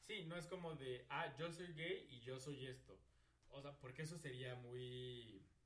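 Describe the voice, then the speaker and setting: A man speaks at a fairly slow pace with ordinary pitch variation. Room echo is audible. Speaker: podcast co-host. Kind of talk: casual chat.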